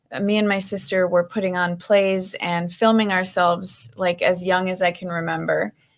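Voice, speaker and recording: Speaking with a Minnesota accent, a woman keeps a medium pitch. Her intonation is monotone and flat, and her pace is moderate. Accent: northern US (Minnesota), noticeable. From Minnesota, US Upper Midwest. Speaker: actor, model and psychologist. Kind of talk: interview.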